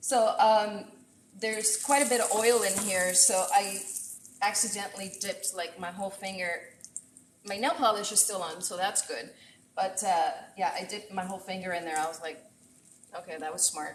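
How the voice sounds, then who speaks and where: With long, frequent pauses, a woman speaks at a moderate pace and medium pitch with ordinary pitch variation, amid noticeable background noise and audible room echo. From Puerto Rico. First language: Spanish. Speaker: chef. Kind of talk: live cooking stream. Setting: home kitchen. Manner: casual and chatty.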